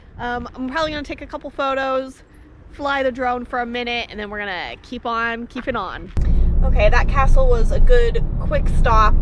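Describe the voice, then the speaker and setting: A woman with an American accent speaks at a moderate pace amid noticeable background noise and audible room echo. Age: 20s. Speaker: travel vlogger. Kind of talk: casual vlog narration.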